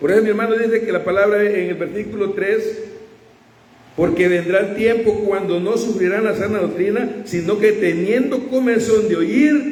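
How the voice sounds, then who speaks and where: With audible room echo and noticeable background noise, a man speaks in a high pitch at a moderate pace. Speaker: preacher. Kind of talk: sermon.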